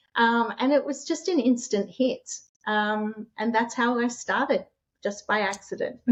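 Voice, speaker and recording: Someone with an Australian accent speaks at a fairly slow pace with ordinary pitch variation. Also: woman, high pitch for a woman. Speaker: short-term rental host and author. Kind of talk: interview.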